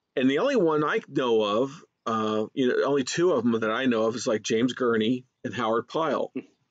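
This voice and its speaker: Fairly quick and with hardly any pauses, a man talks in an ordinary speaking voice at medium pitch with ordinary pitch variation. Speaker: podcast host and animation director. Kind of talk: casual interview.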